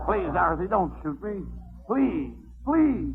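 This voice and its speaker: A whiny, put-on character voice at a fairly slow pace with clear music in the background. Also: man. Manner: whiny, pleading, groveling.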